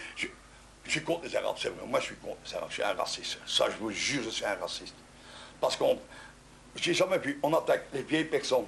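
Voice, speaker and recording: A man talks at a fairly quick pace. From Belgium. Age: 60s. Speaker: resident in street confrontation. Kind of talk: heated argument. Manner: agitated.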